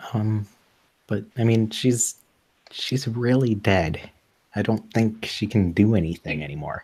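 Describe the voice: The setting is a quiet background. Over it comes plain reading aloud with ordinary pitch variation.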